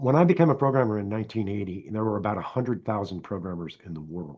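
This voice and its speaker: In a normal speaking voice, a man with a fairly low pitch talks at a fairly quick pace with lively intonation. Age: 60s. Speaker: software development coach. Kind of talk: casual interview chat.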